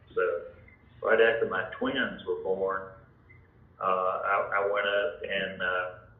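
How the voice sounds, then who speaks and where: A man at a very slow pace with long, frequent pauses and audible room echo. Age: 70s. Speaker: home seller. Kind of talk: phone sales call. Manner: halting.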